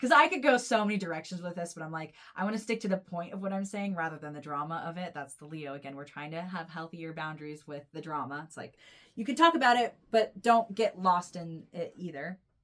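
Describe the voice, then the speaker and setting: Speaking at a fairly quick pace, a woman with a normal speaking voice and a fairly low pitch uses lively intonation and big swings in loudness. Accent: American. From United States. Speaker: tarot reader and astrologer. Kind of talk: intuitive tarot reading. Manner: casual, rambling with many fillers.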